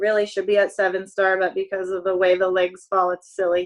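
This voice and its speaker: A woman's animated voice at medium pitch, moving at a moderate pace. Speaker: network marketing coach. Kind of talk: motivational talk on group call. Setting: group call.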